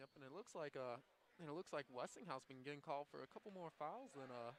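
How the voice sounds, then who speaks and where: A man speaks at a very fast pace with a fairly high pitch and ordinary pitch variation, his voice dry and close with no echo. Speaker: color commentator. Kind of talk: live commentary. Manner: soft-spoken.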